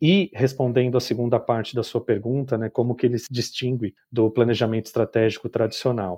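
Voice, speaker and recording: With hardly any pauses, a man moves at a fairly quick pace, his medium-pitched voice dark and mellow in tone with fairly even intonation, recorded dry and close with no echo. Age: 40s. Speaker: design educator and business designer. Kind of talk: interview. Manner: halting.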